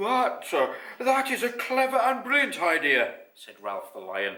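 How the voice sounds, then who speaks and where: A man puts on a character voice with an extremely high pitch, speaking fairly slowly. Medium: read story. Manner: bluff, upper-class.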